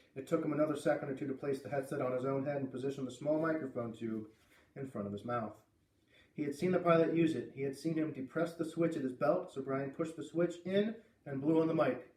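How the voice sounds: The man's voice sits fairly high, with ordinary pitch variation and a slightly mellow tone. He talks at a fairly quick pace, and room echo is audible.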